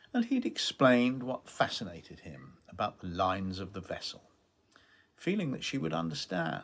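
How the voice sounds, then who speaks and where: A man speaks with a British accent at a moderate pace. His loudness swings widely. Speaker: novelist. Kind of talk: author reading from own novel.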